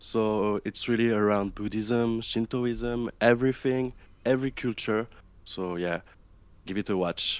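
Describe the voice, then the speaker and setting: With a French accent, a man speaks at a fairly low pitch and a fairly slow pace. His pitch varies in an ordinary way, over a quiet background. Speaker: video essayist. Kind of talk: casual panel discussion. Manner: hesitant, many fillers.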